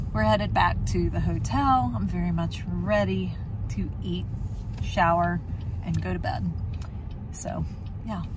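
A woman speaks with a very deep, low pitch and very wide pitch swings, leaving long, frequent pauses. The sound is dry with no echo, and there is noticeable background noise. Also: fairly slow pace. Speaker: background extra and travel vlogger. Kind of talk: casual vlog commentary. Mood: tired but friendly. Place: car. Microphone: phone near.

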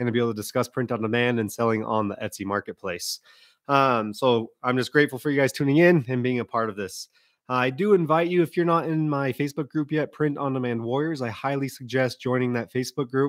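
Against a quiet background, a man talks very fast with ordinary pitch variation, and the sound is dry with no echo. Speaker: online seller hosting a livestream. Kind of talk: livestream announcements. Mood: friendly, upbeat. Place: home room. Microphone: studio mic.

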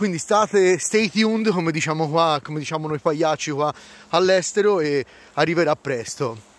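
At a moderate pace with ordinary pitch variation, the voice sounds dry with no echo. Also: man, fairly high pitch for a man. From Florence, Italy; Tuscany, Italy. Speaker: vlogger. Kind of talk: casual vlog monologue. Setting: outdoors by a snowy lake. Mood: jokey, enthusiastic. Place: waterside. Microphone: phone near.

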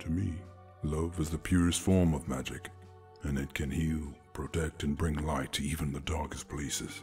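A man's put-on character voice, very deep and low in pitch, at a moderate pace over clear music in the background. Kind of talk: romantic ASMR roleplay. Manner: calm, seductive, patient, knowing.

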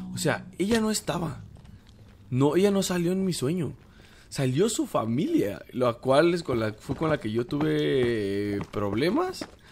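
Over noticeable background noise, a man speaks fairly slowly at a fairly high pitch, his voice making very wide pitch swings. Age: 20s. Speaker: gaming YouTuber. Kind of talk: gameplay commentary. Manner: casual, hesitant with fillers.

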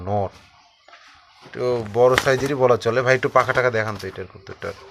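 Noticeable background noise accompanies a man whose loudness swings widely. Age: 30s. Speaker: pigeon video channel host. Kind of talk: on-location interview.

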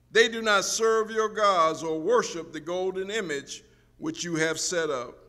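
A man projects a raised voice with a bright, sharp tone, speaking at a fairly slow pace with ordinary pitch variation against a quiet background. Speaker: preacher. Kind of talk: sermon, reading scripture aloud. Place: church. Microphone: podium.

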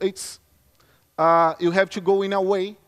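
A man with a Brazilian Portuguese accent speaks at a high pitch. His pace is fairly slow against a quiet background. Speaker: security consultant. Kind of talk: conference talk. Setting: stage with audience. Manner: halting. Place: stage.

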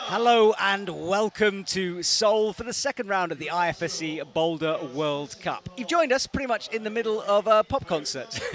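With hardly any pauses, a man speaks at a high pitch with ordinary pitch variation, the sound dry with no echo and light background noise behind it. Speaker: sports commentator. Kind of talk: commentary. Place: booth.

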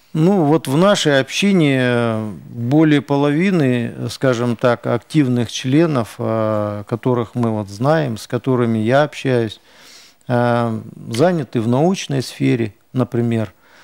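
A man speaks at a very slow pace in a dry sound with no echo. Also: quiet background. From Russian Far East, Khabarovsk; Russian Far East. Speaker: ethnic community leader; guest. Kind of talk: TV interview; interview answer. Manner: hesitant. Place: studio.

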